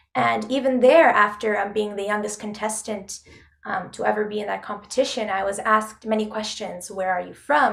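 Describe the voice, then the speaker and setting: A woman's fairly high voice in a Canadian accent, with fairly even intonation at a fairly quick pace, amid audible room echo. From Canada, Toronto. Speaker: opera singer. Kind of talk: interview. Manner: hesitant, many fillers.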